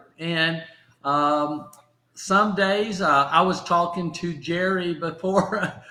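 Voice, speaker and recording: Speaking very slowly in a Southern US accent, a man with a high pitch keeps a fairly even intonation amid audible room echo. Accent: Southern drawl. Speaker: motivational speaker and stroke survivor. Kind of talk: casual chat. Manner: halting.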